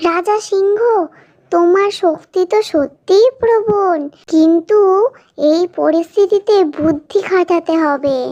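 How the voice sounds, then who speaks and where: An extremely high-pitched cartoonish character voice speaks at a very slow pace. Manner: lively, teasing, quick-witted.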